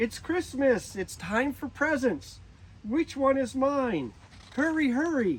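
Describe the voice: A man does a put-on character voice at an extremely high pitch. He speaks slowly, with big pitch swings.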